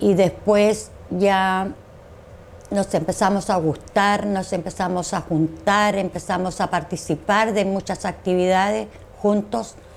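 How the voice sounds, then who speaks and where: Very slow speech from a woman, medium in pitch and fairly even in intonation. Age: 60s. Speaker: dictatorship survivor. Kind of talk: interview testimony.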